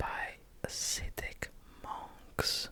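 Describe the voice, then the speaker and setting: Whispering over noticeable background noise. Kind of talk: ASMR whispered travel facts, casual talk to camera. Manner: whispered.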